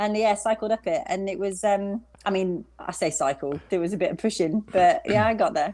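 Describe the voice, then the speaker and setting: Speaking in a West Midlands accent, a woman with a dark, mellow tone and medium pitch keeps a moderate pace, lively intonation and hardly any pauses. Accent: British, West Midlands. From England, West Midlands. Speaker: long-distance cyclist. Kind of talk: interview.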